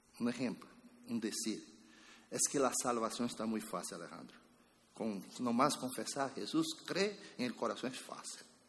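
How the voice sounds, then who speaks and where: A man speaks at a medium pitch with lively intonation and long, frequent pauses. Room echo is audible around him. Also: moderate pace. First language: Spanish (speaking Portuguese). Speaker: pastor. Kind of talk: sermon.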